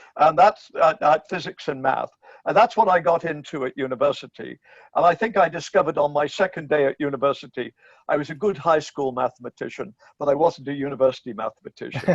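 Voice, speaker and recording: Someone with an English accent talks at a very fast pace in a dry, close recording with no echo. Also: man, fairly high pitch for a man, ordinary pitch variation. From England, Bristol. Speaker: philosophy professor. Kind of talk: interview conversation.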